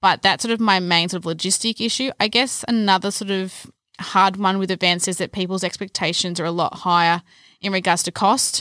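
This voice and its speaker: In an Australian accent, a woman speaks at a fairly quick pace with fairly even intonation. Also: medium pitch for a woman, very clean recording, silent background. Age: 20s. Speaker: events manager. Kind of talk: casual podcast chat.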